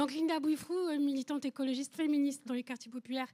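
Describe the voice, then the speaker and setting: This woman talks at a very fast pace in a dark, mellow tone. Her intonation stays fairly even. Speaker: audience member, geographer and activist. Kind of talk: audience question.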